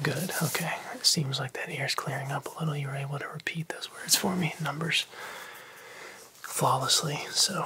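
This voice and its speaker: A soft-spoken man talks at a moderate pace in a gentle tone with fairly even intonation. Light background noise can be heard. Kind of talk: roleplay medical exam talk. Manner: soft, gentle ASMR doctor voice. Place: home room.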